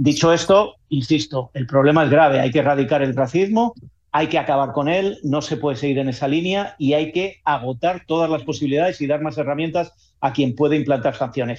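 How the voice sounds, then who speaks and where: A man talks at a fairly quick pace with hardly any pauses. His voice is fairly high, with ordinary pitch variation, over a quiet background. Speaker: football correspondent. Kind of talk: radio sports discussion. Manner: animated.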